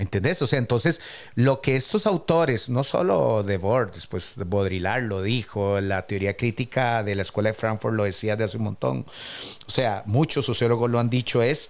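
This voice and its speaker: A normal speaking voice from a man, medium in pitch, with lively intonation and a moderate pace. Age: 50s. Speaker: podcast co-host. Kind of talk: casual chat.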